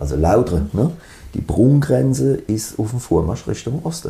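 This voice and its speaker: A man at a fairly slow pace with very wide pitch swings over noticeable background noise. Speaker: band musician. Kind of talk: casual interview. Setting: band rehearsal room.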